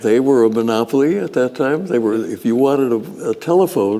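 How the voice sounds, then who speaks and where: Noticeable background noise behind a man's fairly high voice, moderate pace and ordinary pitch variation. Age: 80s+. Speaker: inventor, engineer. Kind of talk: interview answer.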